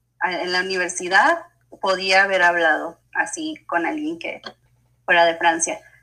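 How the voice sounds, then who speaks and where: A woman speaks at medium pitch in a bright, sharp tone. Her intonation stays fairly even. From Mexico, Chihuahua. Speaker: speech-language pathologist. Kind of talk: interview.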